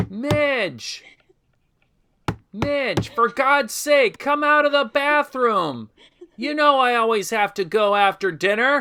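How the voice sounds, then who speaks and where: Putting on a character voice, a man talks at an extremely high pitch in a raised, projected voice, at a fairly slow pace with long, frequent pauses. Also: lively intonation. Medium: audio drama. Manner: blustering.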